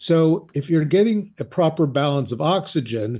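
A man speaks in a dark, mellow tone that is somewhat breathy. His pace is moderate and the background is quiet. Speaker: psychologist. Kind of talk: interview.

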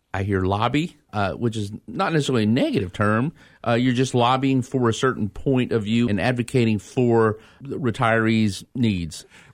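This man has an unremarkable speaking voice, pitched medium and varying in an ordinary way at a moderate pace. The background is silent and the recording very clean. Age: 40s. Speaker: radio host. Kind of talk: radio interview. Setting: studio.

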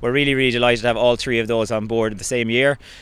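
This man talks in a flat monotone with an Irish accent. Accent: Irish (Mayo). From Ireland, County Mayo. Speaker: sports club chairman. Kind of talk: interview.

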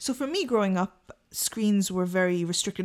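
It is a plain, everyday voice, moving along at a fairly quick pace. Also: woman. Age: 30s. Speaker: podcast co-host. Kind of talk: casual chat.

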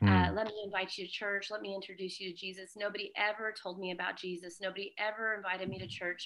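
Talking at a very fast pace, a woman with a Californian accent holds a medium pitch and a monotone, flat intonation. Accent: Californian American. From Southern California. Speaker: missionary, founder of a charity. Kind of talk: interview testimony.

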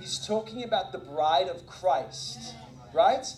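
Over noticeable background noise, a man talks at a fairly slow pace. His tone is animated, with very wide swings in pitch. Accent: South African. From South Africa. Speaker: visiting preacher. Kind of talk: sermon. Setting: church.

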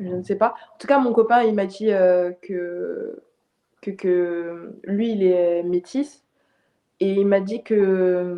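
Speaking very slowly, a woman keeps her intonation fairly even at a medium pitch. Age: 20s. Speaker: film director. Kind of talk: interview. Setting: remote call. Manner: halting. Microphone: poor sound quality.

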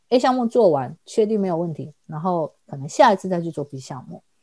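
Her Taiwanese accent comes through at a fairly quick pace, with lively intonation and a fairly low pitch for a woman. The recording is very clean with a silent background, the sound dry and close with no echo. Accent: Taiwanese Mandarin. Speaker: mature student and immigrant. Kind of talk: casual interview chat.

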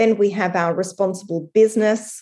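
The background stays quiet. A woman talks with fairly even intonation at a moderate pace. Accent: Australian. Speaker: strategy consultancy founder. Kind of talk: interview.

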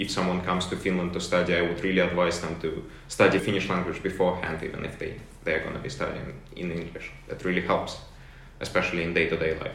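A man with a Russian accent talks at a very fast pace with a very deep, low pitch and monotone, flat intonation, over noticeable background noise and audible room echo. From Russia, St. Petersburg. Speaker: university student. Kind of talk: interview.

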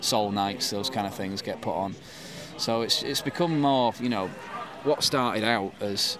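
The speaker talks in a Yorkshire accent at a fairly slow pace with ordinary pitch variation. Background noise is noticeable. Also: man, medium pitch for a man. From West Yorkshire, England. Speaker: football club founder and fan. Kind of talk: casual chat. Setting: at a football ground, recording live.

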